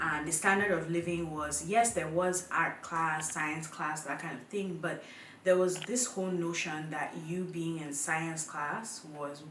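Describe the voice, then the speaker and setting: Someone with a Nigerian accent talks at a fairly slow pace, with audible room echo and noticeable background noise. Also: woman. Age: 20s. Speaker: YouTuber. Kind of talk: casual talk to camera.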